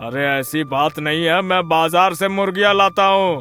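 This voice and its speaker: A cartoonish character voice speaks at a moderate pace over faint background music. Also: man, high pitch for a man. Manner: sly, scheming.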